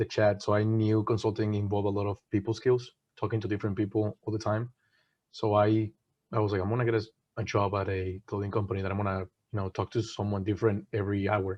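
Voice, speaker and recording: A man with a Spanish accent talks at a very fast pace, somewhat breathy. His fairly low voice has monotone, flat intonation. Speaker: management consultant. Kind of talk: webinar panel talk. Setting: online webinar.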